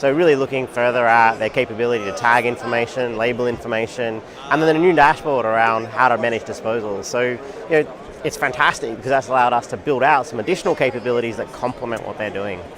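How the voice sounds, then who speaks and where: A man with an Australian accent and medium pitch speaks at a very fast pace. His pitch varies in an ordinary way, and there is noticeable background noise. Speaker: tech company executive. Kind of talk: interview. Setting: conference booth.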